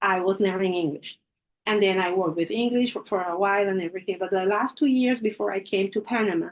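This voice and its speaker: A woman with a Spanish accent, medium-pitched, with ordinary pitch variation and a very fast pace. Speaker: English teacher. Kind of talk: lecture.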